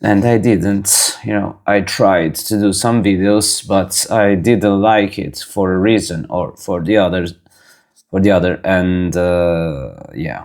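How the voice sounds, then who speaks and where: A man's very deep, low voice with a non-native accent, at a very slow pace and with fairly even intonation. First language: not English. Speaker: razor craftsman and channel host. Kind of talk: tutorial. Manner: halting.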